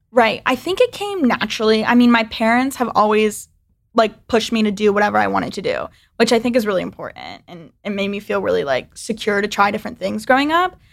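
Speaking very fast with an American accent, a woman is heard on a very clean recording against a silent background. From US South. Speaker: video editor. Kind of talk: casual chat.

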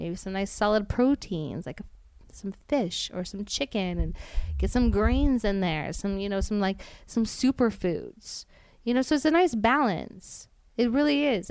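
On a very clean recording with a silent background, a woman talks in an ordinary speaking voice at a medium pitch. Her pace is fairly slow and her intonation lively. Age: 30s. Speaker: reality TV personality. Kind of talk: casual chat.

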